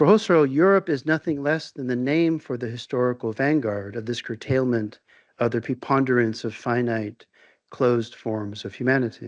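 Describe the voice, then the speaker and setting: A soft-spoken man talks with ordinary pitch variation. The background is quiet. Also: medium pitch for a man, moderate pace. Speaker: visiting philosophy professor. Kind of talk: lecture. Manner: formal.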